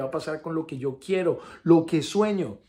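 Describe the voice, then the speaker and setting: Over a quiet background, a man speaks at a moderate pace in a somewhat breathy, dark, mellow tone with lively intonation. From Colombia. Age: 40s. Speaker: actor giving faith testimony. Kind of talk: testimony. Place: home room. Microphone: phone near.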